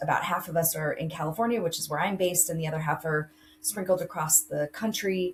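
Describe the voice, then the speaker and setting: The pace is fairly quick. It is a normal speaking voice. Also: woman. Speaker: college admissions counselor. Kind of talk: interview.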